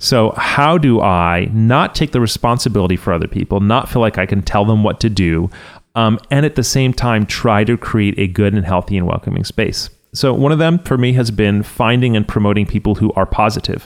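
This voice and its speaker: An unremarkable speaking voice moves at a fairly quick pace with very even loudness and ordinary pitch variation, on a very clean recording with a silent background. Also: man, fairly low pitch for a man. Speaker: web developer and author. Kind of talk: interview. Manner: casual, with frequent fillers and laughs.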